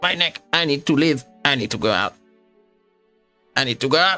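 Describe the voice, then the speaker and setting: A growling, put-on character voice from a man, fairly high in pitch, with lively intonation at a moderate pace, and faint music in the background. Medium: actual play. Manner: grandiose, rambling, fawning.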